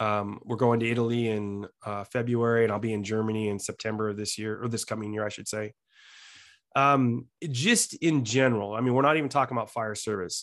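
In an unremarkable speaking voice at medium pitch, a man talks fairly quickly with fairly even intonation against a quiet background. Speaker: fire battalion chief. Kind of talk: interview.

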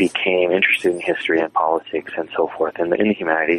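Very fast, monotone, flat speech from a man with a very deep, low pitch and an American accent, over noticeable background noise. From South Texas border region. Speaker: historian and author. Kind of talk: interview. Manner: halting, many fillers.

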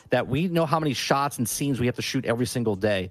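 Lively intonation marks this man's ordinary speaking voice at medium pitch and a fairly quick pace. The recording is very clean, with a silent background. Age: 40s. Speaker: gaming content creator. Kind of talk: casual chat.

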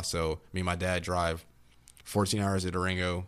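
A man with an American accent speaks in a very deep, low pitch. The recording is very clean, with a silent background. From Texas, Austin. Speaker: college student and athlete. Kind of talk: casual chat.

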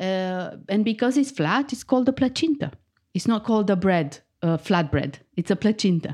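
Speaking in a Romanian accent, a woman of medium pitch talks at a moderate pace with very wide pitch swings. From Romania, Bucharest. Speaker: food writer and cookbook author. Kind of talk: interview.

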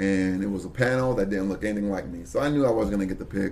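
A man speaks with an American accent, his pitch fairly low and its variation ordinary. Some room echo can be heard around him. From Brooklyn, New York. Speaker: local politician. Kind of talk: interview.

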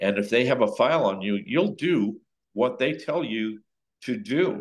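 With an American accent, a man has an ordinary speaking voice at a medium pitch and a fairly slow pace. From Southern California. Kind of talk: testimony.

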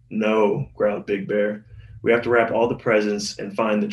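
An unforced reading voice carries the whole text.

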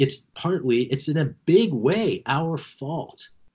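With an American accent, a man talks with lively intonation in a somewhat breathy voice. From US Midwest, rural Missouri. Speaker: congressional candidate. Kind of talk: interview.

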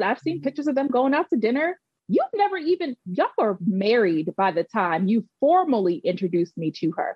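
Pitch swings very widely in this woman's fairly high, somewhat breathy voice. She goes at a fairly quick pace with hardly any pauses and very even loudness. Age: 30s. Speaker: host's cousin, hosts own story segment. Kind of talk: casual chat.

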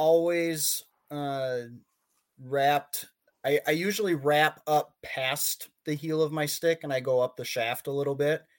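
A very slow, fairly high-pitched male voice in an American accent, with fairly even intonation. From Minnesota. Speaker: hockey goalie. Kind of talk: casual chat.

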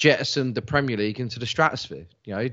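With a London accent, a man talks in fairly even intonation. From South London. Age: 40s. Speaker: football journalist and podcaster. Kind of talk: casual chat.

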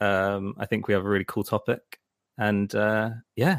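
The recording is very clean, with a silent background and a dry, close sound with no echo. A man speaks at a fairly low pitch. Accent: London. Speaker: podcast host. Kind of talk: casual chat. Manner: halting.

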